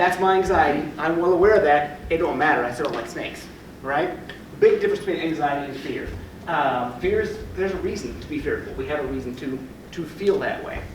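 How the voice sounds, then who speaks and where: At a fairly quick pace, a man with a high pitch and ordinary pitch variation speaks amid audible room echo and noticeable background noise. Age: 30s. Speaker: family therapist and trainer. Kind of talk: lecture. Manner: fast.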